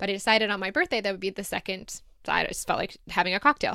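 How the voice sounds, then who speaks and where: A woman's animated, bright and sharp voice at a very fast pace, on a very clean recording with a silent background. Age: 30s. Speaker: podcast host. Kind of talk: casual listener Q&A monologue.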